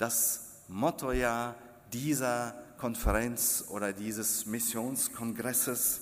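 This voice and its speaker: A man's medium-pitched voice at a very slow pace, with fairly even intonation and audible room echo. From Kazakhstan. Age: 50s. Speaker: preacher. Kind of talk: sermon. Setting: church.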